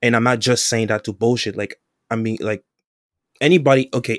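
In a dry, close sound with no echo on a very clean recording with a silent background, a man with an unremarkable speaking voice talks at a fairly quick pace, medium in pitch with fairly even intonation. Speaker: podcast co-host. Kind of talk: casual banter podcast.

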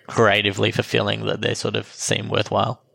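A man speaks with an Australian accent. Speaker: filmmaker and post-production professional. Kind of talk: casual interview chat. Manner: casual, hesitant with fillers.

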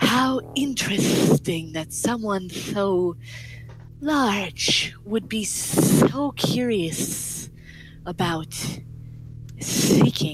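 Through hissing and clear background noise, a female-sounding voice in a put-on character voice speaks at a medium pitch and a very slow pace, with long, frequent pauses. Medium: actual play. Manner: hissing lizard accent, smooth, wheedling.

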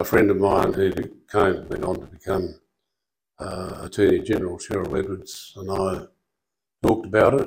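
This is a man speaking with an Australian accent. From Western Australia. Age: 70s. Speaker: dentist. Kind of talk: interview conversation. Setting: studio. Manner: halting.

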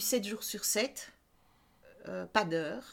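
A woman at a very slow pace. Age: 50s. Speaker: entrepreneur. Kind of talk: interview.

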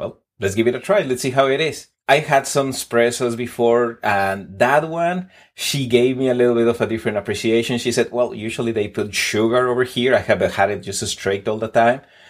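Speaking at a fairly quick pace in a Spanish accent, a man of medium pitch shows ordinary pitch variation on a very clean recording with a silent background. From Mexico City. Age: 40s. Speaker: podcast guest, coffee enthusiast. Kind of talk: casual interview chat.

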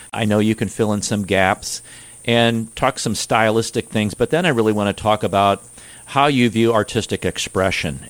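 In a plain, everyday voice, a man speaks at a moderate pace with a fairly low pitch and a dry, close sound with no echo. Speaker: radio host. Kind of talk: radio interview.

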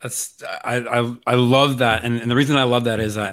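On a very clean recording with a silent background, a man speaks at a moderate pace in a monotone with flat intonation. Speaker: podcast host. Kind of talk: casual interview chat.

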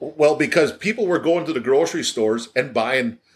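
A man with a Wisconsin accent, fairly quick pace and ordinary pitch variation. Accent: Upper Midwest (Wisconsin). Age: 60s. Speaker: cheese maker, business owner. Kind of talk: casual interview. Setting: factory office with work noise. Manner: halting, many repetitions and fillers.

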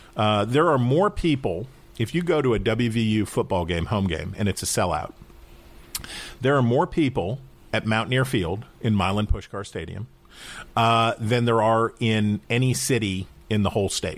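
A man's medium-pitched, an ordinary speaking voice, at a moderate pace with lively intonation. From West Virginia, Wheeling. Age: 40s. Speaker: political commentator. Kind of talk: interview.

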